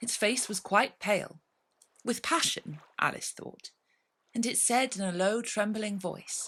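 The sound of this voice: The background is quiet. The reading voice is unforced.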